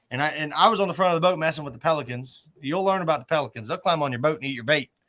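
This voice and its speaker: A man talks very fast with a bright, sharp tone and an American accent. His pitch is fairly high, with ordinary variation. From southern Ohio. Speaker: catfishing tournament director and podcast host. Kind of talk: casual chat. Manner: animated.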